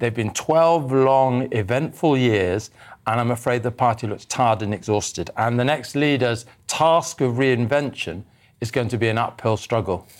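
A man in a plain, everyday voice speaks at a moderate pace and medium pitch with ordinary pitch variation, recorded very cleanly against a silent background. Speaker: political commentator. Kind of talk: panel discussion. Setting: studio.

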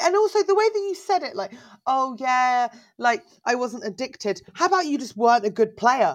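With an English accent, a woman speaks high in pitch at a moderate pace. Her pitch swings very widely. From England. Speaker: stand-up comedian. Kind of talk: casual chat.

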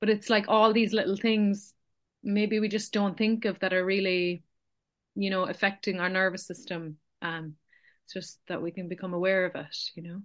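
A woman with an Irish accent, with big swings in loudness, over a quiet background. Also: medium pitch for a woman, fairly even intonation, moderate pace. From Ireland. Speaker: podcast host. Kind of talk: casual chat.

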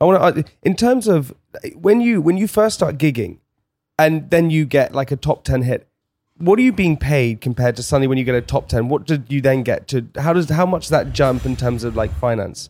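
With lively intonation, a man speaks fairly quickly at a fairly high pitch. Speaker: podcast host. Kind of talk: casual podcast chat. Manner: loud, energetic.

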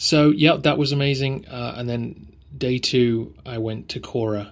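With an English accent, a man is talking. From England. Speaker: history podcaster. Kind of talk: casual travel update, unscripted. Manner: hesitant, with ums and ahs.

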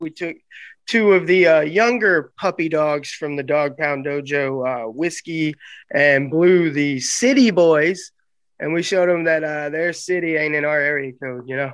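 A man with a Southern US accent speaks at a fairly slow pace, his pitch fairly high. The background is quiet. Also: ordinary pitch variation. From US South, Arkansas. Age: 30s. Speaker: pro wrestler. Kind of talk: interview. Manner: animated.

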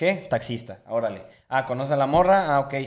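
This man speaks with a Mexican accent. His pitch is fairly high. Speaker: podcast co-host. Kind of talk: casual chat.

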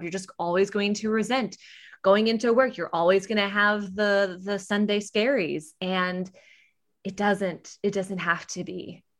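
At a moderate pace, a woman with an American accent speaks at medium pitch in a plain, everyday voice. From US Midwest. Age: 30s. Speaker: podcast host and casting director. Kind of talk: casual chat.

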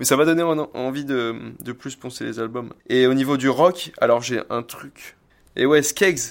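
A man with a plain, everyday voice talks at a fairly slow pace in a medium pitch, with ordinary pitch variation and big swings in loudness, on a very clean recording with a silent background. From France, Oléron island (Charente-Maritime). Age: 20s. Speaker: surf instructor and MMA gym founder. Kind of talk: casual chat. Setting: small home-built dojo.

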